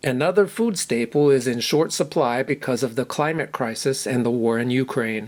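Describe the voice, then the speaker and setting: With an American accent, a man talks in a normal speaking voice at medium pitch, moderate pace, ordinary pitch variation and hardly any pauses. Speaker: English teacher. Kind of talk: news reading for language learners.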